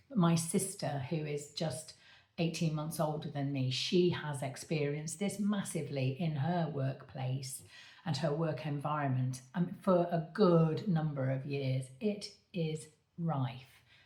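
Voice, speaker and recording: Audible room echo surrounds a woman with a very deep, low pitch. She speaks at a fairly slow pace with ordinary pitch variation. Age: 60s. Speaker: medium and coach, author. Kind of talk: direct-to-camera appeal. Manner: halting, with many fillers.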